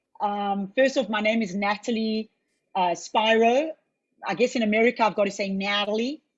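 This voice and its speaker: A woman's fairly high, somewhat breathy voice, fairly quick, with fairly even intonation and long, frequent pauses. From South Africa (born in Israel). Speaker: facilitator and entrepreneur. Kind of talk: webinar introduction.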